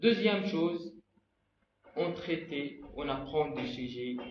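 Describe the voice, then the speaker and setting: A man with an Arabic accent speaks at a very slow pace, with audible room echo. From Egypt. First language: Arabic (speaking French). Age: 20s. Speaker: language learner vlogger. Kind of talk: personal vlog talk.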